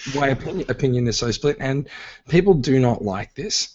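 A man speaks with an Australian accent. His pitch is medium and his pace moderate. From Australia, Sydney. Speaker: podcast host. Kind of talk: casual chat. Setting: live stream recording.

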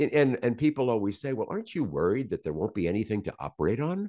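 With an American accent, a man speaks in a dark, mellow tone with vocal fry and very wide pitch swings against a quiet background. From US South, Virginia. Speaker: surgeon and podcaster. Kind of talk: casual interview.

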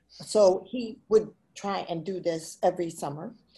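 Its intonation is fairly even, and its tone is dark and mellow. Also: woman. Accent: American. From Chicago, Illinois. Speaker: children's book author. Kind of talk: interview. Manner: halting.

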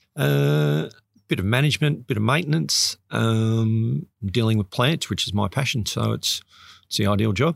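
A man talks at a moderate pace, his medium pitch swinging very widely. His loudness stays very even, and the very clean recording has a silent background and a dry, close sound with no echo. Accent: Australian. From Sydney, Australia. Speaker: botanic gardens curator and open water swimmer. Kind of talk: interview.

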